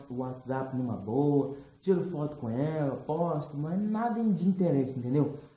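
A man's voice has audible room echo. His pitch varies in an ordinary way. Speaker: vlogger. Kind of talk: casual vlog chat. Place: home room. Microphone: webcam.

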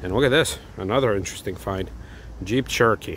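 The pace is moderate. The sound is dry with no echo, over light background noise. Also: man. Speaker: car enthusiast vlogger. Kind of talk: casual vlog commentary. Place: street. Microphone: phone near.

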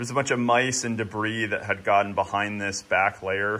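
The man's speech moves at a moderate pace. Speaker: homesteading vlogger. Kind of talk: casual vlog chat. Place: garage. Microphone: phone near.

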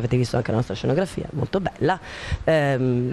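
Light noise runs in the background. The voice belongs to a woman. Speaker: theatre actor or director. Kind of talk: interview answer. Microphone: handheld.

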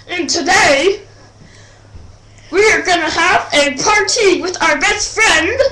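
In a cartoonish character voice of extremely high pitch, the speaker goes at a fairly slow pace with long, frequent pauses. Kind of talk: comedic puppet skit. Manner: hyper, excited.

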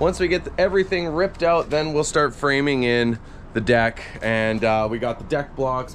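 Light background noise sits behind a man speaking at a moderate pace. His intonation is lively. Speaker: diy vlogger. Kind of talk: casual vlog chat. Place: garden. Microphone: phone near.

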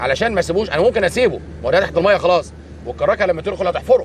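Speaking very fast, a man comes through a dry, echo-free sound with light background noise behind him. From Egypt. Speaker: army engineering general. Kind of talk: on-site interview. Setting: outdoors. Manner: halting. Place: waterside.

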